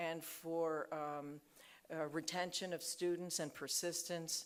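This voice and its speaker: A woman at a very slow pace. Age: 50s. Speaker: nursing school dean. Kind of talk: conference talk. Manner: hesitant, many fillers.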